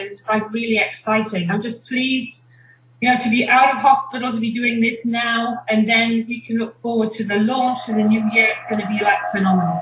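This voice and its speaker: Noticeable background noise sits behind the speaker. A woman talks at a fairly quick pace and a fairly high pitch, with fairly even intonation. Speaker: network marketing presenter. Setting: video call.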